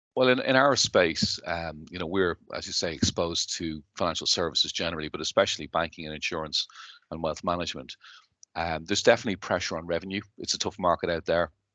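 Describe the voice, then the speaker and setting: Delivered at a very fast pace in a Dublin accent, the voice has a bright, sharp tone and ordinary pitch variation, with a dry, close sound with no echo and a quiet background. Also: man, very deep, low pitch for a man. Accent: Irish (Dublin). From Ireland, Dublin. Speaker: company chief executive. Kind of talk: interview.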